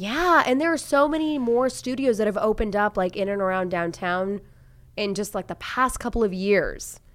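A woman with a normal speaking voice, fairly high pitch and an American accent, at a moderate pace, in a very clean recording with a silent background. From Tulsa, Oklahoma. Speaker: TV news journalist. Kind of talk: casual chat. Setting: studio.

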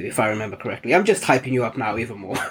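Lively intonation in a somewhat breathy male voice. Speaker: podcast host. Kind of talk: casual chat.

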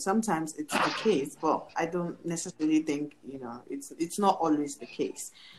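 This woman has an unremarkable speaking voice, fairly low in pitch with ordinary variation, and she talks at a moderate speed. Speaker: podcast host. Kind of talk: casual chat.

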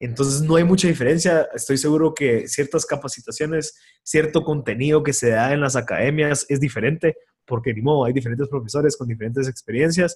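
A man speaks in a fairly high, somewhat breathy voice with ordinary pitch variation at a fairly quick pace. The recording is very clean, with a silent background. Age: 20s. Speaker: volunteer firefighter and entrepreneur. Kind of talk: casual interview conversation. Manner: halting, many fillers and repeated words.

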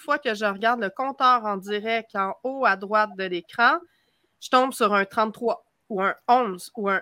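The speaker has a Quebec accent, ordinary pitch variation and a bright, sharp tone. The recording is very clean with a silent background, and the sound is dry and close with no echo. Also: woman. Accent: Québécois. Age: 40s. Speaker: witch and youtuber. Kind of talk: casual chat.

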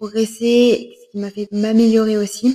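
Her fairly high voice is somewhat breathy, and this woman's intonation stays monotone and flat. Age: 20s. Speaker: podcaster and fitness instructor. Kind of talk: solo podcast monologue. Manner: hesitant, many filler sounds.

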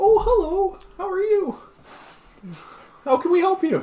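In a squeaky, put-on character voice, the speaker talks at a moderate pace with an extremely high pitch. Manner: cheerful, welcoming.

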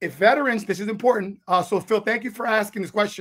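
A man with a high voice sounds animated and enthusiastic, with ordinary pitch variation. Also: very clean recording, silent background. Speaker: author and publisher, veteran. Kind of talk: casual interview chat. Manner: animated, enthusiastic.

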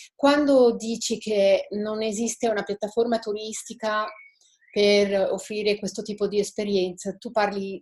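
At a fairly slow pace, a woman speaks in an ordinary speaking voice with medium pitch and ordinary pitch variation. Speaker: estate owner presenting her project. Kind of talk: webinar participant explaining her project. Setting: video call.

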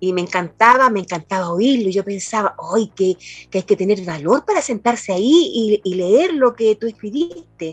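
The sound is dry and close with no echo. A woman with a fairly high pitch speaks in a somewhat breathy voice with lively intonation. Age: 60s. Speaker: poet. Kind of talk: interview. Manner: halting.

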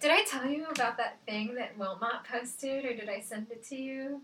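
A high-pitched woman at a moderate pace with hardly any pauses and ordinary pitch variation, amid noticeable background noise. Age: 20s. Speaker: film podcast co-host. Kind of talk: casual chat.

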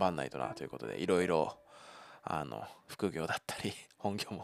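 Music plays in the background as a man speaks at a very deep, low pitch. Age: 30s. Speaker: podcaster, office worker and father. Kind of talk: casual solo monologue. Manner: casual, chatty.

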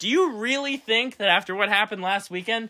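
Bright and sharp, an animated voice with an American accent is raised and projected. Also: man. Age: 20s. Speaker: sports podcast host. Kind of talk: casual sports chat.

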